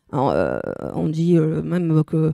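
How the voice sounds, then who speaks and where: A woman with a Belgian accent speaks at a fairly slow pace in a dark, mellow tone. The sound is dry and close, with no echo. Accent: Belgian regional accent, self-noted. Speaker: preacher. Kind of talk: sermon. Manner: animated, emphatic.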